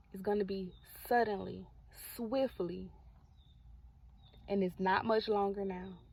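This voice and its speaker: A soft-spoken woman talks at medium pitch and a fairly slow pace, calm and somewhat breathy. Her intonation is fairly even, broken by long, frequent pauses. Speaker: faith content creator. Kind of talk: prophetic encouragement vlog. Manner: calm, soft.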